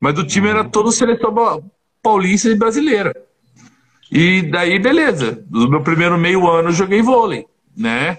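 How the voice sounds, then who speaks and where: The speaker's pitch swings very widely while the loudness stays very even, broken by long, frequent pauses. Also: man, high pitch for a man, moderate pace. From Paraná and interior São Paulo, Brazil. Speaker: former professional basketball player. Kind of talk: casual interview.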